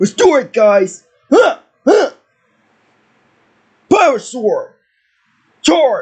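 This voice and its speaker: A man's put-on character voice at an extremely high pitch, with very wide pitch swings, a very slow pace and long, frequent pauses. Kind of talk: battle cries and morph calls. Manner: shouted, energetic.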